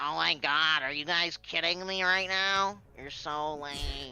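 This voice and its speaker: Nasal and middle-pitched, the put-on character voice moves at a fairly slow pace. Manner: whiny, complaining.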